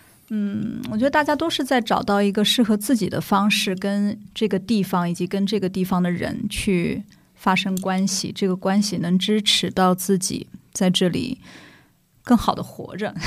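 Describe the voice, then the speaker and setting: In a very clean recording with a silent background, a woman speaks somewhat breathily at a moderate pace, with ordinary pitch variation. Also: medium pitch for a woman. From Shanghai (old Nanshi district). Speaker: community development worker. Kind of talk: casual chat.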